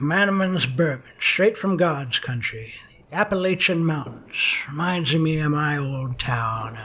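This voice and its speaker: Putting on a gruff character voice, a man speaks fairly slowly at a fairly high pitch. His intonation is lively. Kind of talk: hard-boiled noir voice-over. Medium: audio drama. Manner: gruff, sardonic, clipped.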